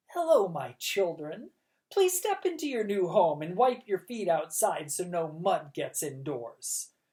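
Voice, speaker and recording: A put-on character voice at a middle pitch and fairly slow pace. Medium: read story. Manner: falsely welcoming, sly.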